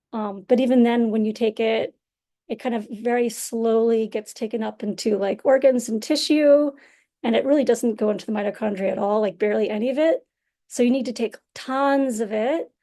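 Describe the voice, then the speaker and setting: A woman talks at a fairly quick pace in a fairly high voice with a dark, mellow tone. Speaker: scientist giving a talk. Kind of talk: lecture with slides. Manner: fast; animated.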